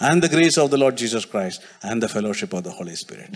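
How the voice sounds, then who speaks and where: A man speaks with a Keralan accent at a fairly quick pace. His medium pitch swings very widely. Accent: Indian English (Malayali). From India, Kerala. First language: Malayalam. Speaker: preacher. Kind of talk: sermon. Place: church. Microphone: handheld.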